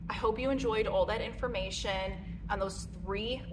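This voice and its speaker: A woman talks at a moderate pace. There is noticeable background noise behind her. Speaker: clothing reviewer. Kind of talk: casual vlog chat. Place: gym.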